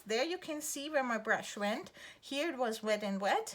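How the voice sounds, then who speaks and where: Lively intonation marks this woman's delivery. She speaks with a German accent. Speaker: art teacher. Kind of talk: tutorial. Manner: relaxed, with fillers.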